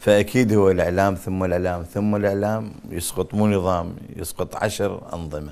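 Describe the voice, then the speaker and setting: A man's very deep, low voice, with fairly even intonation and hardly any pauses. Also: moderate pace. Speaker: actor. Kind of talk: interview.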